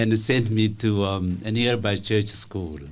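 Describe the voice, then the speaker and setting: A man's fairly slow speech with fairly even intonation, in audible room echo. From Ethiopia. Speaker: professor. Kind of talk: radio interview. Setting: radio studio. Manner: halting.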